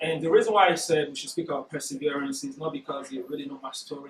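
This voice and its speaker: Noticeable background noise sits behind this man. He speaks with a non-native accent. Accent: foreign. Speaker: workshop speaker. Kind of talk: motivational talk. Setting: corporate workshop room. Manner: naturally fast speaker.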